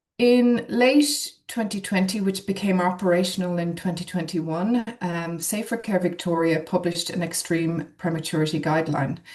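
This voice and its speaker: A woman with a fairly low pitch speaks at a moderate pace with hardly any pauses. Her pitch varies in an ordinary way, and background noise is noticeable. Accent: Irish. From Ireland. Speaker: neonatologist. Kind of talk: webinar presentation.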